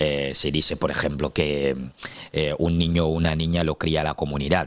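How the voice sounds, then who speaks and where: A man speaks at a moderate pace in a very deep, low voice full of vocal fry, his intonation monotone and flat. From Cameroon, Douala. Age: 30s. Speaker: activist, interview guest. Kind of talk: interview. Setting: studio. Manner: hesitant with many fillers.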